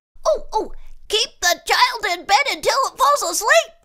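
This put-on character voice is squeaky and extremely high in pitch, moving at a fairly slow pace.

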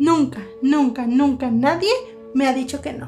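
Faint music plays in the background. A woman speaks fairly slowly in a high pitch. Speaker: comedy sketch actor. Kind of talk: scripted sketch dialogue. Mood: playful, comedic.

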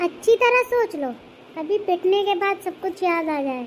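A cartoonish character voice at an extremely high pitch and a moderate pace, with clear background noise. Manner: nervous, pleading.

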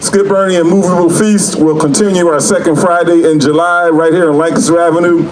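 Over noticeable background noise, a man keeps a moderate pace. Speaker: emcee announcer. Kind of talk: stage announcement. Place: street.

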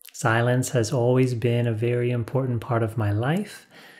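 A somewhat breathy man at a moderate pace, quiet background. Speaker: spiritual teacher. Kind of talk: calm spiritual talk to camera. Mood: calm, warm, smiling. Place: studio.

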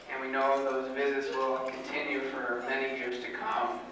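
There is strong room echo and light background noise. A man speaks at a fairly slow pace. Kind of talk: wedding toast speech. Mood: warm, a bit nervous. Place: hall.

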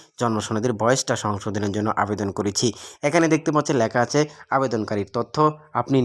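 In a very clean recording with a silent background, a man has a plain, everyday voice and ordinary pitch variation. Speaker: tech tutorial youtuber. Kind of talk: screen-recorded tutorial.

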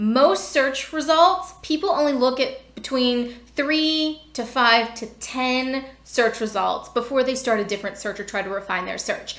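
A woman with a high voice speaks at a fairly slow pace and lively intonation, barely pausing, in a room with audible echo. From US, Pennsylvania. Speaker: information architecture educator. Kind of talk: tutorial. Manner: thinking aloud while demonstrating. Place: home room. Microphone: webcam.

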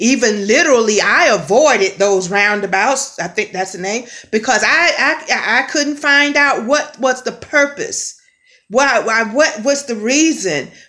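A woman speaks at a fairly slow pace in a high voice against a quiet background. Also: lively intonation. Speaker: spiritual vlogger. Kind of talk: casual spiritual vlog message. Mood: earnest, expressive. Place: home room. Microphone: phone near.

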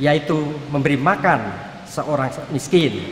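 The pace is fairly slow. Light background noise and audible room echo can be heard. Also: man. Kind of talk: sermon. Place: church. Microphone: podium.

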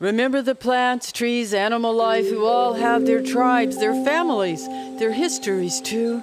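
A woman speaks at a fairly slow pace with ordinary pitch variation while music plays in the background. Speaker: poet. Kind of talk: poetry reading.

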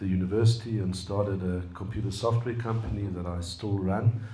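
Against light background noise and audible room echo, a man speaks at a moderate pace with a fairly low pitch and monotone, flat intonation. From South Africa, Johannesburg. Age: 60s. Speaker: computer scientist and businessman. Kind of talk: personal talk and dialogue. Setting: room with live audience. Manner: hesitant with fillers. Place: meeting room. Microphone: handheld.

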